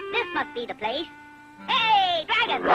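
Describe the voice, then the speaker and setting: Loud music plays in the background. A cartoonish character voice speaks at a moderate pace. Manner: brash, wisecracking.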